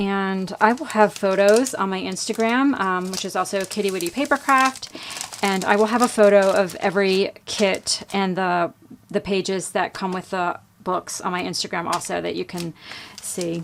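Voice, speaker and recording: Here is a plain, everyday voice from a woman, pitched at medium height. She talks at a moderate pace with ordinary pitch variation. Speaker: crafter and online shop owner. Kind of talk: product showcase tutorial. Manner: casual with frequent fillers.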